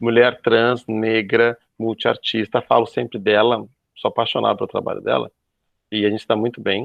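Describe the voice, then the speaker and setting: At a moderate pace, a man talks in a medium pitch. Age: 40s. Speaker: youtuber. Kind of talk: panel discussion. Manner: animated.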